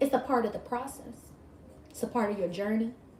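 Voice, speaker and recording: A high-pitched woman's animated voice over noticeable background noise. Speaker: tarot reader. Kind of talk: live-stream spiritual reading.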